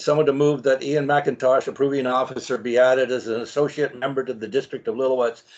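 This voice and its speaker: A man with a normal speaking voice talks fairly quickly at medium pitch, with fairly even intonation. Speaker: mayor chairing council meeting. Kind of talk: formal council meeting chairing. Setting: video call.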